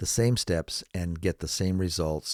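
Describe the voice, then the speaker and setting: In a very clean recording with a silent background, a man speaks with a very deep, low pitch and a dark, mellow tone, the sound dry and close with no echo. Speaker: video editing instructor. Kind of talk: tutorial. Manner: slow; distinct, carefully pronouncing each word.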